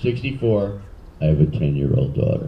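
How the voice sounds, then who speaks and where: A man with a Philadelphia accent, very deep low pitch, very wide pitch swings and a moderate pace, plus audible room echo. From Philadelphia, US. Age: 60s. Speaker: comedian. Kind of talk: stand-up. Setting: stage with audience.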